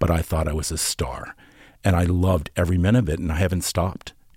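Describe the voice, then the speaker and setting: In a very clean recording with a silent background, a man with an American accent speaks at a fairly quick pace in a very deep, low, somewhat breathy voice. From Norfolk, Virginia. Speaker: costume designer and visual artist. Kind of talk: interview.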